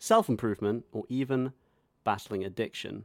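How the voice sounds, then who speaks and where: A man with a British accent speaks fairly quickly at a medium pitch with ordinary pitch variation, recorded dry and close with no echo on a very clean recording with a silent background. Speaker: podcast co-host. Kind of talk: comedic casual chat.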